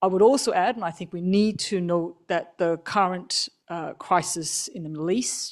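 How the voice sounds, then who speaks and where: A woman speaks at a medium pitch with ordinary pitch variation and hardly any pauses. Her loudness swings widely over a quiet background. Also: moderate pace. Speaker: energy agency analyst. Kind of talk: panel discussion. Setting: conference stage with microphone.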